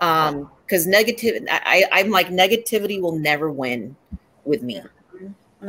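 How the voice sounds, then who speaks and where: The woman's voice sits fairly low in pitch yet makes very wide pitch swings. Her pace is moderate. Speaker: radio and voiceover talent. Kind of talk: casual interview.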